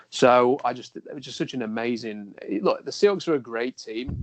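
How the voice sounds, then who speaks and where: Ordinary pitch variation in a South Yorkshire accent, with a dry, close sound with no echo and a quiet background. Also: man. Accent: English, Rotherham (South Yorkshire). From England, Rotherham. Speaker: sports journalist and blogger. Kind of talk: podcast interview.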